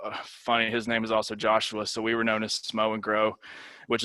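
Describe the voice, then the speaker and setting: This man's bright, sharp tone stays monotone and flat at a medium pitch as he talks fairly quickly in a Tennessee accent. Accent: Southern US (Tennessee). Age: 30s. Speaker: university lecturer. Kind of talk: lecture. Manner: casual, many fillers.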